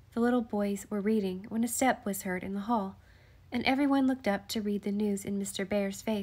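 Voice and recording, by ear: The voice sounds natural. It is reading aloud.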